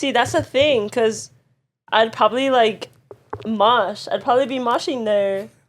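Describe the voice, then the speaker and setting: A woman with an LA accent, fairly high pitch, ordinary pitch variation and a fairly slow pace. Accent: LA accent, self-described. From Los Angeles, US. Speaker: podcast co-host. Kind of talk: casual chat.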